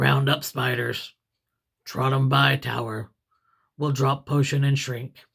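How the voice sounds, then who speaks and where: A man uses a put-on character voice that is raspy and medium in pitch. He moves at a fairly slow pace with long, frequent pauses. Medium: read story. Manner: terse, clipped.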